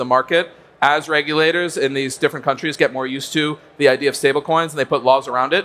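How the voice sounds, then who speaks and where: Very fast speech from a man with an American accent, fairly high in pitch and bright, sharp in tone. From United States. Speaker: crypto trading executive. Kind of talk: conference panel discussion.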